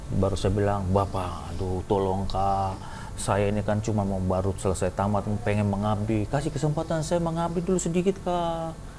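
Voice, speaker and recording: With music in the background, a man of fairly low pitch talks at a fairly quick pace with lively intonation. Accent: Papuan. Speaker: heart and lung surgeon. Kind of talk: testimony. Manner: animated.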